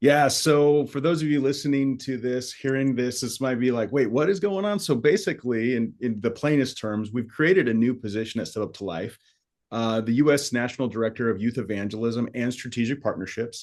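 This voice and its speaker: At a fairly quick pace with hardly any pauses, a man speaks in a normal speaking voice at a medium pitch with ordinary pitch variation against a quiet background. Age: 40s. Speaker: podcast host, ministry leader. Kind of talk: casual podcast chat.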